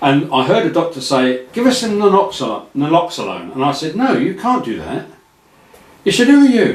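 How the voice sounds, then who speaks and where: A high-pitched man speaks at a moderate pace with very wide pitch swings and audible room echo. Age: 70s. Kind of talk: casual chat.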